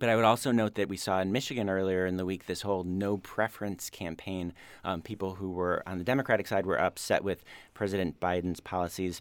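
At a very fast pace, a man with a very deep, low pitch and fairly even intonation speaks in a very clean recording with a silent background. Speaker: news director panelist. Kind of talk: radio panel discussion. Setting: studio.

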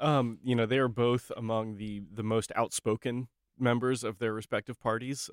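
A man speaks in a normal speaking voice at a medium pitch with fairly even intonation. The sound is dry and close, with no echo. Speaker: political reporter. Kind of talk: radio news roundup.

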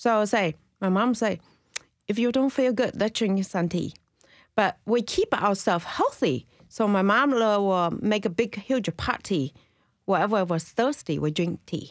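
In a Chinese accent, a woman speaks slowly-ish at a fairly slow pace and medium pitch, with ordinary pitch variation and very even loudness. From China. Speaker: tea shop owner. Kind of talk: casual interview. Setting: studio.

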